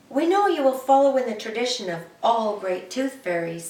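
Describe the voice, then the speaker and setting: Someone performs a put-on character voice at a moderate pace, with slight echo in the recording. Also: woman, high pitch for a woman. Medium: read story.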